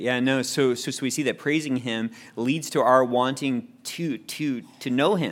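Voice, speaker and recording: In a very clean recording with a silent background, a man with an unremarkable speaking voice talks at medium pitch, with ordinary pitch variation and a fairly slow pace. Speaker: Bible study teacher. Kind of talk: Bible study teaching and group discussion. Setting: in-person group meeting, people seated on floor.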